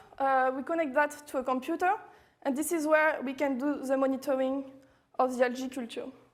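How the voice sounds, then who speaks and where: A woman with a French accent talks at a fairly quick pace and a high pitch. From France. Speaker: machine learning researcher. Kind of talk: technical talk. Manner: halting, many fillers.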